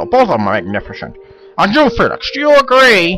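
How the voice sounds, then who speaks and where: A put-on character voice that sounds female, pitched high for a woman, moves at a fairly quick pace. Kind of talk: comic overacting. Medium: solo performance. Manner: exaggerated, mock-formal.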